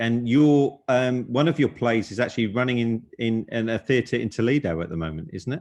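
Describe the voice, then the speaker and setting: Speaking at a fairly quick pace with hardly any pauses, a man uses a medium pitch and ordinary pitch variation. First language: Hungarian. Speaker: publisher and panel moderator. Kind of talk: panel discussion. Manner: halting, repeats words.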